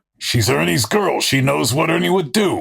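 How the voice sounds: A put-on character voice comes at a moderate pace. It has vocal fry and a husky, rough edge. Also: man, fairly high pitch for a man, lively intonation, fairly bright tone.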